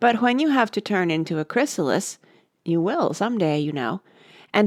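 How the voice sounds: This is a natural reading voice with lively intonation. The background is quiet.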